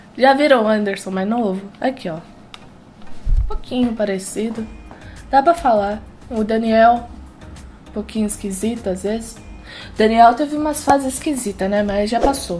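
Over faint background music, a woman speaks at a fairly slow pace with long, frequent pauses and ordinary pitch variation. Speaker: reaction youtuber. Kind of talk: casual reaction vlog chat. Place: home room. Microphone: headset.

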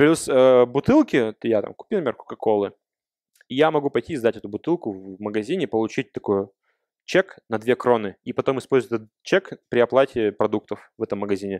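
A man with a plain, everyday voice talks at a moderate pace and medium pitch, with ordinary pitch variation and big swings in loudness. The sound is dry and close, with no echo and a quiet background. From Russia. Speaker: software developer. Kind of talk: Q&A after a talk. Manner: casual, conversational.

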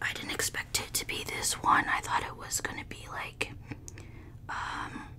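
Soft-spoken and whispering, a woman talks at a fairly slow pace over noticeable background noise. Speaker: mukbang creator. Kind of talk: casual vlog chat. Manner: soft ASMR whisper, mildly disappointed. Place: home room. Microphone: studio mic.

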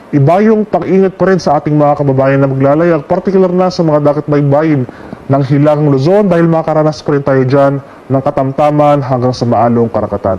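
Over noticeable background noise, a man talks at a fairly high pitch and a fairly quick pace with hardly any pauses, very even loudness and ordinary pitch variation. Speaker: weather forecaster. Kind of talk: televised weather forecast briefing, Taglish. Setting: studio. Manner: steady, measured official delivery with occasional 'uh' fillers; clear explanatory tone, glossing technical terms in plain Filipino.

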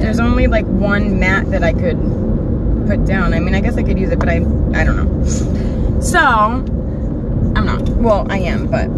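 A woman at a fairly slow pace, dry sound with no echo, over loud background noise. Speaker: makeup vlogger. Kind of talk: casual vlog chat. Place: car. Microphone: phone near.

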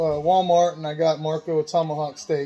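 A man speaks at a fairly slow pace. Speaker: pet owner vlogger. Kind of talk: casual vlog chat. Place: kitchen. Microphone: phone near.

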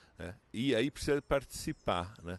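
A man's voice, dry sound with no echo. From Brazil. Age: 40s. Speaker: professor and therapist; professor. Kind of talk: interview monologue. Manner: halting, many fillers. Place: garden. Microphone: handheld.

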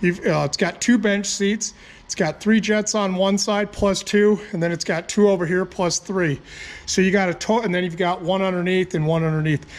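Speaking at a moderate pace, a man has a high pitch. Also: fairly even intonation. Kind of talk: tutorial. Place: garage. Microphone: phone near.

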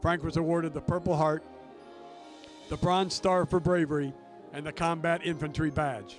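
Over background music, a man with a fairly high pitch talks with fairly even intonation and long, frequent pauses. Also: moderate pace. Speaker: stadium public address announcer. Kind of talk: ballpark PA tribute announcement. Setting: PA system.

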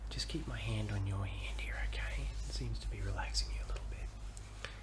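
The speaker is soft-spoken, with a calm, soothing tone. Background noise is noticeable. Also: man. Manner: soft, calm, soothing low voice. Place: home room. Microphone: phone near.

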